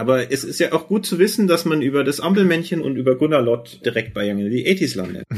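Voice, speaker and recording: Over noticeable background noise, a man speaks at a very fast pace with hardly any pauses and very wide pitch swings. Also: fairly high pitch for a man. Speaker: podcast co-host. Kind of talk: casual chat.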